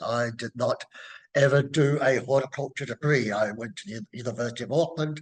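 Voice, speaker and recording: A man speaks with a New Zealand accent at a moderate pace. His voice sits fairly high, with ordinary pitch variation. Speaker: horticulture professor. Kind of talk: interview. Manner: halting, many fillers.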